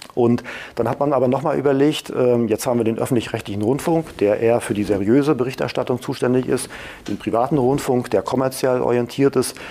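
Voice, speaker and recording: A man talks fairly quickly at a medium pitch. He has a plain, everyday voice, and his pitch varies in an ordinary way. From Mecklenburg-Vorpommern, Germany. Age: 40s. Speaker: media regulator director, former radio journalist. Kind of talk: interview.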